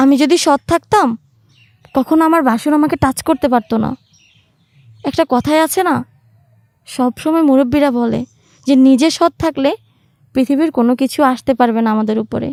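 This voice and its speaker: A high-pitched woman's voice with ordinary pitch variation, dry and close with no echo. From Bangladesh, Manikganj. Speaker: storyteller. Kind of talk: personal storytelling.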